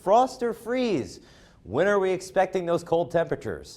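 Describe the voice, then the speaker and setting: A normal speaking voice from a man, moderate pace and lively intonation. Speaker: weather forecaster, student broadcaster. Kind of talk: TV weather forecast presentation.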